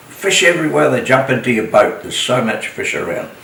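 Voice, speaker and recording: A man with a New Zealand accent talks at a fairly quick pace, with audible room echo and noticeable background noise. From New Zealand, Coromandel. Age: 80s+. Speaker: retired motel owner and local elder. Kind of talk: oral history interview. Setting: at home. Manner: halting.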